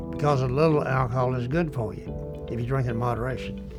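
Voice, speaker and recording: With music in the background, a man talks at a moderate pace in a Southern US accent, his medium pitch showing ordinary variation. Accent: Southern American. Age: 80s+. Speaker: World War II veteran. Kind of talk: interview answer.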